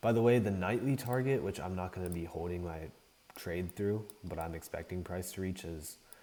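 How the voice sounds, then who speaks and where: Quietly, a man speaks at a moderate pace in a very deep, low voice with a dark, mellow tone. His pitch varies in an ordinary way. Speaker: day trader streaming live trades. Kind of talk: live trading commentary. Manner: quiet, calm; casual, hesitant with fillers.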